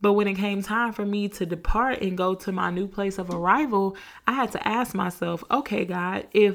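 A woman with an American accent, medium pitch, ordinary pitch variation, and an animated tone. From Georgia, US South. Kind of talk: faith podcast monologue.

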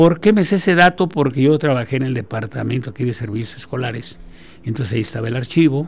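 At a very fast pace, the speaker sounds somewhat breathy and uses lively intonation. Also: man, medium pitch for a man. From Mexico, Guanajuato. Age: 70s. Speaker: engineering professor. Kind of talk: radio interview. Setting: radio studio.

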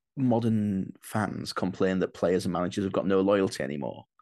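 Against a quiet background, a man with a Yorkshire accent talks in a fairly low voice. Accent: Yorkshire northern English. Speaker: comedian. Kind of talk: casual chat.

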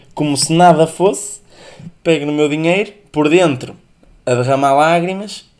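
Here a man with an ordinary speaking voice talks at a moderate pace with ordinary pitch variation. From northern Portugal. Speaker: podcast host. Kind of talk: casual solo podcast monologue.

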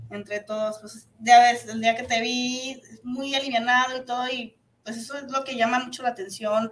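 With a high pitch and monotone, flat intonation, a woman speaks at a moderate pace, her loudness swinging widely. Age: 40s. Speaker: internet radio host. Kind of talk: casual interview. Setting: radio studio.

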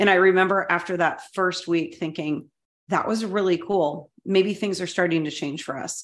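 A woman with a medium pitch speaks in an ordinary speaking voice. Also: fairly even intonation, moderate pace. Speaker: podcast co-host, educator. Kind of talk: casual chat, interview.

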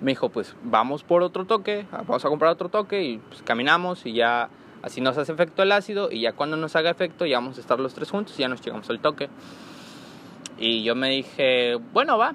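At a fairly quick pace, a man with a fairly high pitch speaks with very wide pitch swings. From Mexico, Comalcalco, Tabasco. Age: 20s. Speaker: podcast host, security guard. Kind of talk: casual monologue. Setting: recording at workplace. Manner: stuttering, halting. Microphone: poor audio quality.

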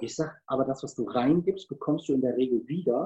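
A man's voice has a dark, mellow tone and is somewhat breathy. His intonation is lively. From Cologne, Germany. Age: 50s. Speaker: sales trainer and speaker. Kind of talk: interview.

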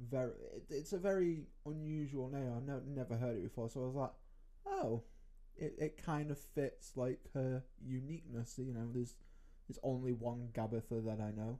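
Speaking at moderate pace with a British accent, the voice has a dark, mellow tone and ordinary pitch variation. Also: man, medium pitch for a man. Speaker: podcast co-host. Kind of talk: casual chat.

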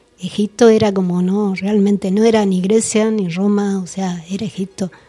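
A woman talks at medium pitch and a moderate pace, somewhat breathy. Her intonation is monotone and flat. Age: 50s. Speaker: researcher and author on esoteric history. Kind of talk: radio interview.

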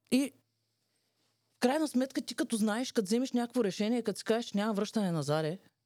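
With long, frequent pauses breaking up her very fast delivery, a woman speaks in a fairly high, dark, mellow voice with lively intonation, recorded dry and close with no echo in a very clean recording over a silent background. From Bulgaria. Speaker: podcast co-host, entrepreneur. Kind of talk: casual chat.

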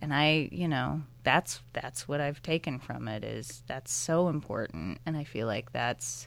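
A woman talks at a moderate pace in a very deep, low voice with vocal fry. Her intonation is lively. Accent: American. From US Midwest, suburban Chicago. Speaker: documentary filmmaker. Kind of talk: interview. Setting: studio.

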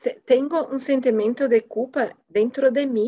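At a very slow pace, a woman speaks with a dark, mellow tone, a high pitch and ordinary pitch variation. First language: Portuguese (speaking Spanish). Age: 40s. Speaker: finance worker. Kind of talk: casual chat.

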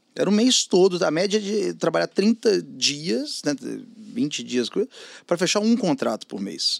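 Pitched high, a man's voice swings very widely in pitch. He speaks at a fairly slow pace. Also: dry, close sound with no echo, very clean recording, silent background. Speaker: advertising media entrepreneur. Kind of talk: casual interview chat.

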